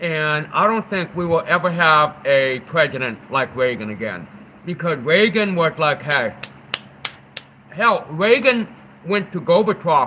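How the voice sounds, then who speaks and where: A man's fairly high pitch and lively intonation at a fairly slow pace, against noticeable background noise. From New England. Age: 40s. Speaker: livestreamer. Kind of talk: casual live stream chat. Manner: animated.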